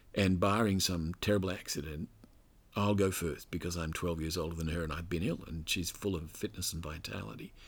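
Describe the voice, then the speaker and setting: Over a very clean recording with a silent background, a man with an Australian accent speaks at a fairly quick pace in a very deep, low voice with ordinary pitch variation. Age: 60s. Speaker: scholar and author. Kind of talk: interview conversation. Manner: halting.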